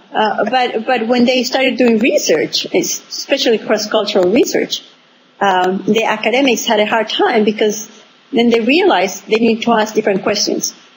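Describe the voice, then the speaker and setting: With a Spanish accent, a woman speaks at a moderate pace and fairly high pitch, her loudness very even over noticeable background noise. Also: ordinary pitch variation. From Venezuela, small town. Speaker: author and entrepreneurship expert. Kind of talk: interview. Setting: remote call from abroad. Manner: halting, many fillers.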